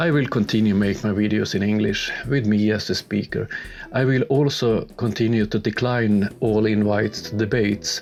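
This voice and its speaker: A man's fairly low voice with a Swedish accent, moderate pace and very even loudness, over noticeable background noise. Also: fairly even intonation. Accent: clear Swedish. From Sweden. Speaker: YouTuber, science debunker. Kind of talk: video commentary. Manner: halting with fillers.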